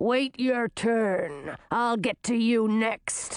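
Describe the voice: In a put-on character voice, the speaker draws words out at a very slow pace with lively intonation. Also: woman, fairly high pitch for a woman.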